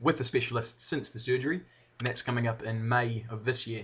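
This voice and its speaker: A man talks with a New Zealand accent. His voice sits at a medium pitch. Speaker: video blogger, brain surgery patient. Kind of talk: personal video update. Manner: slurred at times; halting, pausing.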